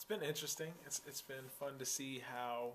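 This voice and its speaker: Here a man is speaking. His voice is medium in pitch. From Texas. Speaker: interviewee. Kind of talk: interview. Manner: casual, hesitant with fillers.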